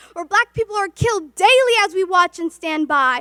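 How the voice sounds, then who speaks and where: A woman with an extremely high pitch projects a raised voice at a moderate pace. Her tone is bright and sharp, the sound dry and close with no echo. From Somalia. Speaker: spoken word poet. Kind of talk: spoken word poetry performance. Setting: virtual event. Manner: impassioned, rhythmic.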